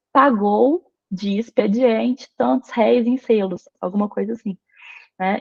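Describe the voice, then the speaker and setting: Somewhat breathy, a woman talks with lively intonation. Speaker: paleography instructor. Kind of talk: online lecture.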